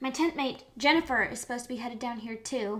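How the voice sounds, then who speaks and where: A woman in a put-on character voice, high-pitched, at a very fast pace. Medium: read story.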